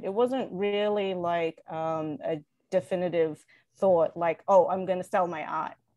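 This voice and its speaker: A woman's dark, mellow voice sounds dry with no echo against a quiet background. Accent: Australian. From Australia. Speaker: designer and small business owner; guest. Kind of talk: interview. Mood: warm, animated storytelling. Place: home room. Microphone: video call.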